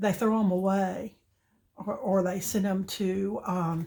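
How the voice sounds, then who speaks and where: Somewhat breathy and at a medium pitch, a woman speaks at a very slow pace with fairly even intonation. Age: 70s. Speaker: craft youtuber. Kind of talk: tutorial. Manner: halting, with many fillers; casual, chatty.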